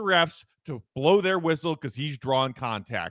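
In a bright, sharp tone, a man sounds animated and upbeat with very wide pitch swings, on a very clean recording with a silent background and a dry, close sound with no echo. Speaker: podcast host. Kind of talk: sports podcast discussion. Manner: animated, upbeat.

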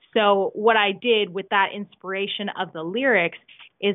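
With a Canadian accent, a woman speaks at a moderate pace and medium pitch with fairly even intonation, an ordinary speaking voice. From Canada. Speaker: musician. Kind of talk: casual chat. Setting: remote interview from home.

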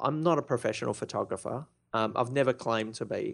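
Over a quiet background, a man with an Australian accent speaks at a fairly quick pace. His intonation is fairly even. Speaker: blogging expert, blog founder. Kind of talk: interview. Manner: soft-spoken.

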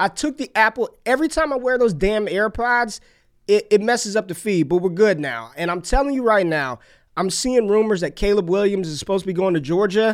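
A man's high voice with lively intonation. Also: fairly quick pace. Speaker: fantasy football podcast host. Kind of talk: casual sports chat. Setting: remote recording with headset mic. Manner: animated.

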